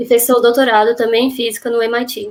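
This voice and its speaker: At a very fast pace, a woman speaks in a fairly high voice. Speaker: event host. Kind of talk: formal introduction.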